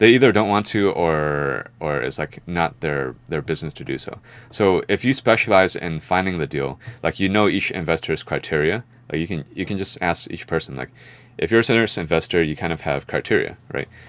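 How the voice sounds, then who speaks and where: Very deep, low male voice with vocal fry and lively intonation. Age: 30s. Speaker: investor. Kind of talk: casual chat.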